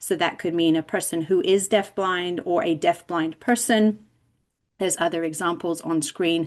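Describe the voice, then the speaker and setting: A woman with an English accent speaks at a moderate pace against a quiet background. Her pitch is fairly low and her intonation fairly even. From England. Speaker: deafblind education specialist presenter. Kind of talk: lecture. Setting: video call.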